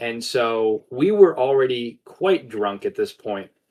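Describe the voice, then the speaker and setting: Speaking at a fairly slow pace, a man uses lively intonation and has a medium pitch. He talks with an American accent. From US South, Florida. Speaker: podcast host, tabletop wargamer. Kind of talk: casual chat, storytelling.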